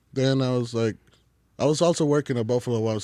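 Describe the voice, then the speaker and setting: A man speaks at a medium pitch with a slight Mexican accent. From Mexico. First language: Spanish. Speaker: chef. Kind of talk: casual chat. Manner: casual, filler-heavy.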